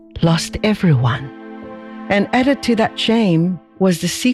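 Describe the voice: The text is read aloud plainly. Nothing more is added to the reading.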